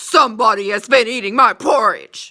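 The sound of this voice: A put-on character voice, gruff and growling, comes at a fairly high pitch and a moderate pace.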